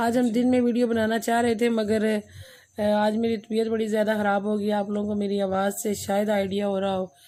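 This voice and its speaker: Her voice is fairly high and dark and mellow in tone, and this woman keeps a moderate pace with monotone, flat intonation. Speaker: vlogger, mother. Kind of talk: casual vlog talk.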